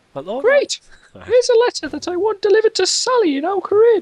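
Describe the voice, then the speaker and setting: A put-on character voice comes through, squeaky in sound. It moves at a fairly quick pace. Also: man, extremely high pitch for a man. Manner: sweet, girly.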